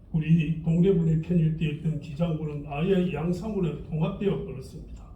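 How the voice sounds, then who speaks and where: Audible room echo surrounds a man with a high voice who speaks at a fairly slow pace with fairly even intonation. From Gijang, Busan, South Korea. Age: 80s+. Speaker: local historian. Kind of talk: lecture.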